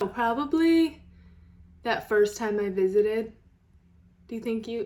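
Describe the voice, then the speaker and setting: A woman with a Rochester accent speaks at a fairly slow pace on a very clean recording with a silent background. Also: fairly high pitch for a woman, ordinary pitch variation. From Rochester, New York. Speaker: YouTuber, singer. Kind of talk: casual chat.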